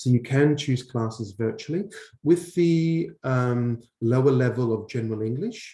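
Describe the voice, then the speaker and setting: Somewhat breathy and dark, mellow in tone, a man speaks at a fairly slow pace with a medium pitch and ordinary pitch variation. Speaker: English teacher. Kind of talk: online Q&A session. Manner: hesitant, many fillers.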